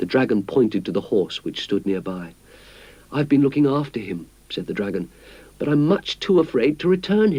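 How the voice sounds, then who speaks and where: The voice has a dark, mellow tone with vocal fry, very wide pitch swings, and a moderate pace. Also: man. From British. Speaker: actor. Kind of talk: children's story narration.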